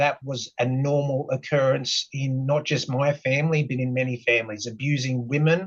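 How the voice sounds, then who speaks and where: This man's voice is somewhat breathy and fairly high-pitched, moving at a moderate pace. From Australia, Sydney. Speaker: mental health advocate. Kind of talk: personal testimony in podcast interview. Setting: podcast interview. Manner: hesitant, many fillers.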